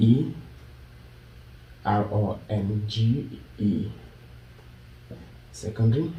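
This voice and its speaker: A man in a Kenyan accent, medium pitch, somewhat breathy, with ordinary pitch variation and audible room echo. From Kenya (Nyamira County, later Nairobi). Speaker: YouTuber. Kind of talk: vlog intro; interview.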